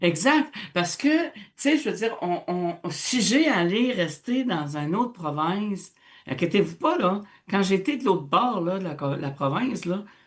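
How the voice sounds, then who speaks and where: A somewhat breathy, animated tone at a fairly slow pace, with very wide pitch swings. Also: woman, medium pitch for a woman. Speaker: radio host, teacher. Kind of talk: casual radio discussion.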